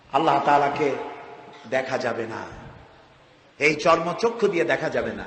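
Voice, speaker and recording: Amid noticeable background noise, a man speaks with a fairly high pitch and ordinary pitch variation. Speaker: Islamic preacher. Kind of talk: religious sermon.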